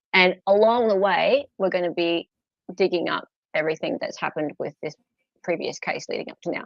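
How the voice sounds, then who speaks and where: In an Australian accent, a woman speaks in a dry, close sound with no echo. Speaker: true crime livestream host. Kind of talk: casual livestream chat.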